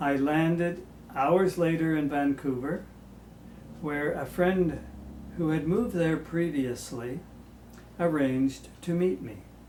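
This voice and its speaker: A man with a Canadian accent speaks at a fairly high pitch with ordinary pitch variation. His pace is fairly slow, with long, frequent pauses and audible room echo. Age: 70s. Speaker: home movie narrator. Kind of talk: scripted narration.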